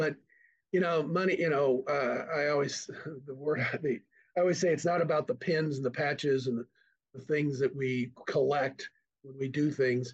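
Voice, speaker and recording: Fairly high pitch for a man, somewhat breathy, with an American accent, a moderate pace and fairly even intonation. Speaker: nonprofit executive director. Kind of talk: casual interview.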